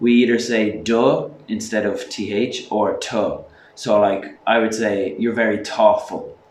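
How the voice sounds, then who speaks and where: A man of medium pitch talks in an Irish accent, with noticeable background noise behind him. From Ireland. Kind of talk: casual talk to camera.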